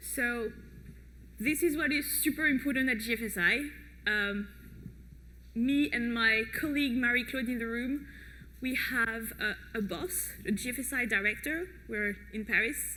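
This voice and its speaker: With audible room echo, a woman speaks at a moderate pace with long, frequent pauses. Her pitch is fairly high, with ordinary variation. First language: French. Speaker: project manager at food safety organization. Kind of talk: conference talk. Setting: stage with audience. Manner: hesitant with many fillers.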